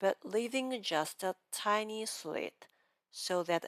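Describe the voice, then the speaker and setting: A woman speaks with a Japanese accent at a very slow pace and ordinary pitch variation. The sound is dry and close, with no echo. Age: 50s. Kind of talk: pronunciation lesson talk to camera.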